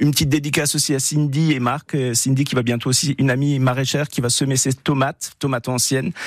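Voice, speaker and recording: Recorded dry and close with no echo, a man with an Alsatian accent speaks with fairly even intonation. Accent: Alsatian accent, praised. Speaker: gardening expert. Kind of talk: radio call-in advice.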